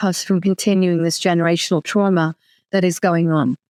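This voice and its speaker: The speaker has a London accent, and the recording is very clean with a silent background. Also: woman. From London, England. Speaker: author and lawyer. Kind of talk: interview.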